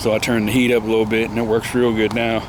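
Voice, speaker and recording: Amid noticeable background noise and audible room echo, a man with an American accent talks at a medium pitch in a monotone, flat intonation. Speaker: gardening vlogger. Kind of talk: casual vlog monologue. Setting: outdoors in backyard garden. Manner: halting, many fillers.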